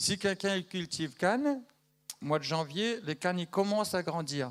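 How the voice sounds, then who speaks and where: A man's high-pitched voice, moderate pace, lively intonation. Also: very clean recording, silent background. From Madagascar. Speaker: missionary giving news to a church. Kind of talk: church news update to congregation. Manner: conversational, hesitant with fillers.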